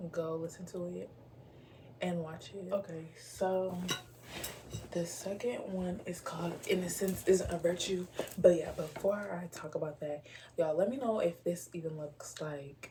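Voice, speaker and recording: Soft-spoken and fairly low in pitch, a woman talks at a fairly slow pace with long, frequent pauses. Noticeable background noise can be heard. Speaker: poetry podcaster. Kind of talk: casual chat. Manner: casual, filler-heavy.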